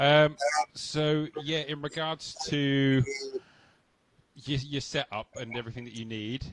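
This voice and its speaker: A man at fairly high pitch and a fairly slow pace, with fairly even intonation, big swings in loudness, and long, frequent pauses. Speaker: online show host. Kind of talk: interview. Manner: quiet. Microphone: too quiet.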